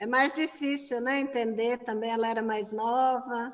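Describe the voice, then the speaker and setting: A woman speaks at a high pitch with a Brazilian accent. Her pitch variation is ordinary. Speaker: religious sister, interviewer. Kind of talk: interview. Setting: exhibition room.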